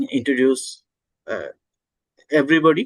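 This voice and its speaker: A man talks with a Bangladeshi accent. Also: dry, close sound with no echo. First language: Bengali. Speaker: homeopathic doctor and conference host. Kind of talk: conference opening remarks. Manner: halting, many fillers.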